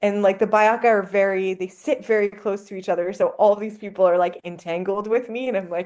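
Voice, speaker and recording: A woman with a French accent and a medium pitch speaks at a fairly quick pace, with fairly even intonation and hardly any pauses. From Canada. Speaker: anthropologist. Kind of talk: casual interview.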